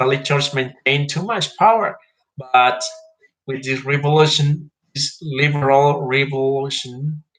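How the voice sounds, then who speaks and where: With a Spanish accent, a man with a fairly high voice speaks at a fairly slow pace, showing ordinary pitch variation and big swings in loudness. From Mexico. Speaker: history vlogger. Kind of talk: informal history talk. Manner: halting, with fillers.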